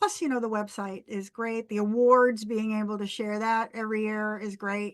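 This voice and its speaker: Speaking at a fairly slow pace, a woman with a normal speaking voice has a fairly high pitch. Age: 60s. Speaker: pagan musician. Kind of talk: interview.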